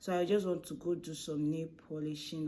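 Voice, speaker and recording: A soft-spoken woman with a Nigerian accent has a dark, mellow tone and a fairly low pitch. She keeps fairly even intonation at a moderate pace, with audible room echo. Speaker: food vlogger and baker. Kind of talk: casual vlog talk to camera. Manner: soft-spoken, kept low.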